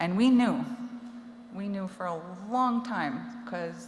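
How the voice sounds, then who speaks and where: A woman with a Canadian accent at a fairly slow pace, with ordinary pitch variation and audible room echo. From Cree reserve, Alberta (Treaty Six territory). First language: Cree. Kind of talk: personal testimony. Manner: conversational, many fillers.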